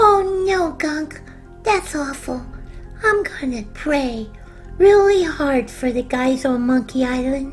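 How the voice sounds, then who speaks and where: Over clear background music, a cartoonish character voice with a high pitch talks at a fairly slow pace. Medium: puppet.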